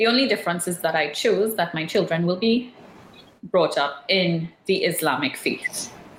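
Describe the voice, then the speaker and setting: Noticeable background noise sits behind a woman with a fairly low pitch. She talks at a moderate pace with ordinary pitch variation. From Trinidad. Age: 40s. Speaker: media communications specialist. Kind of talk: interview.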